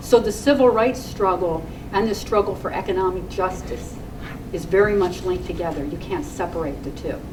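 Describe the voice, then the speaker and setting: A woman with a medium-pitched voice talks at a fairly quick pace with ordinary pitch variation. Audible room echo and noticeable background noise surround her. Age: 60s. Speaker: community activist. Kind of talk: rally speech. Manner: animated.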